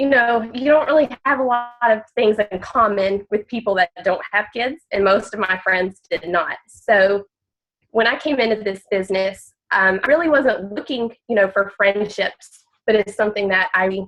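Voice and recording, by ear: A nasal woman at medium pitch and a moderate pace. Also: ordinary pitch variation.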